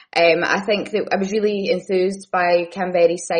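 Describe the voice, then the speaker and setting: Over noticeable background noise, a woman speaks at medium pitch in a monotone, flat intonation. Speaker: football fan guest. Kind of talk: casual football discussion.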